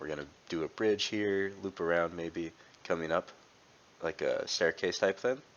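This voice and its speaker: Over noticeable background noise, a man with a fairly low voice speaks at a fairly quick pace. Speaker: gaming youtuber. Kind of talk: gameplay commentary. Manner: casual, halting with fillers.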